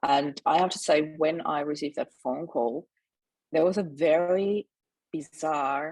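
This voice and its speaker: The sound is dry and close with no echo as a woman speaks with a very deep, low pitch and fairly even intonation. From Austria. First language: German. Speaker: mindset mentor. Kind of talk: interview testimony. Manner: fast.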